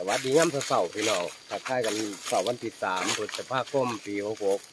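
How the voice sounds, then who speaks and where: Noticeable background noise beneath a man's dry, echo-free voice. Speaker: mushroom forager vlogger. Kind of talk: casual vlog chat. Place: forest. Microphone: lapel.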